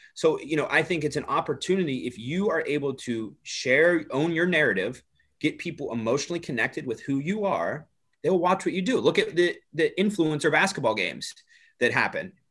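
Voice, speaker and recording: This man has a high-pitched voice, lively intonation and a fairly quick pace. His recording is very clean, with a silent background. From small town. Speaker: personal brand coach and entrepreneur. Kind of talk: casual interview.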